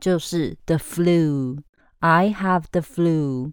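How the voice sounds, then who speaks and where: Set against a quiet background, a woman has an unremarkable speaking voice with a fairly low pitch and ordinary pitch variation. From Taiwan. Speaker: English teacher. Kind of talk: language lesson podcast.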